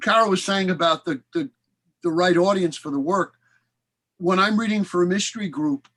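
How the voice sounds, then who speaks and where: With a Brooklyn accent and a bright, sharp tone, a man talks at a high pitch and moderate pace with ordinary pitch variation, in a dry, close sound with no echo against a quiet background. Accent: native Brooklyn. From Brooklyn, New York (Flatbush). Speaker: author and actor. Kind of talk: casual chat.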